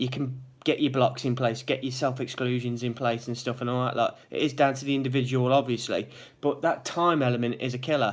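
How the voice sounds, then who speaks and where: A man with a Derby accent speaks in a monotone with flat intonation. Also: medium pitch for a man. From England, Derby. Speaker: vlogger in gambling addiction recovery. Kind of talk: live vlog, casual chat with viewers. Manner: fast.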